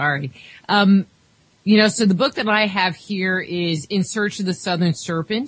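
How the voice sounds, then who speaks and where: A woman with an American accent speaks at a moderate pace in a medium pitch, somewhat breathy, with ordinary pitch variation. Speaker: radio host. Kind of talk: interview. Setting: studio.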